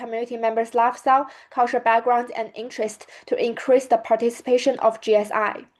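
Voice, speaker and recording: A fairly quick pace in a Chinese accent. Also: woman. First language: Mandarin Chinese. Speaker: student. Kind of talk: presentation.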